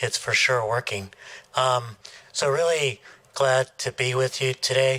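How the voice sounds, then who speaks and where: The bright, sharp voice moves at a fairly slow pace with fairly even intonation. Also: man. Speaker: sociology professor. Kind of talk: lecture.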